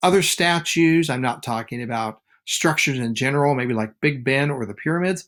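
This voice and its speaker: An ordinary speaking voice belongs to this man, at medium pitch and a moderate pace. His intonation is lively, and the recording is very clean with a silent background. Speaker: teacher. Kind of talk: lecture.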